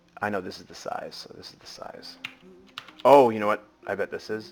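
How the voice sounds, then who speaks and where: Background noise is noticeable here. A man talks over it. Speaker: malware analysis instructor. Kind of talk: live screen-share tutorial. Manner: fast; thinking aloud, hesitant with fillers.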